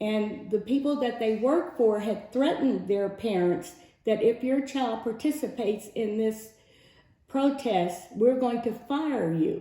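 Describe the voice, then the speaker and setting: Speaking fairly slowly with an American accent, a woman uses lively intonation and a fairly high pitch, with audible room echo and noticeable background noise. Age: 70s. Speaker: civil rights veteran. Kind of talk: testimony.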